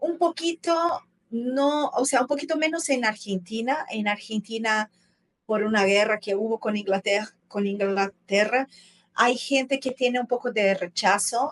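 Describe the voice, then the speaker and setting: In a Portuguese accent, a woman with a fairly high pitch speaks at a fairly slow pace with very even loudness, the sound dry and close with no echo. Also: lively intonation. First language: Portuguese (speaking Spanish). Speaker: travel content creator. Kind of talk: casual interview conversation.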